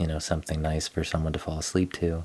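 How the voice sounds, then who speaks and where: A man talks very fast in a soft-spoken voice. His pitch is very deep and low. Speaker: gaming streamer. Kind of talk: casual live stream game tour. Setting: live stream. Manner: soft-spoken, talking quietly.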